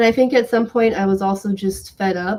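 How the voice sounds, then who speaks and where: A woman with an American accent and a dark, mellow tone. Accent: slight Southern, comes out when angry. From US South. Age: 20s. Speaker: writer. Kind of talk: reading aloud; casual chat.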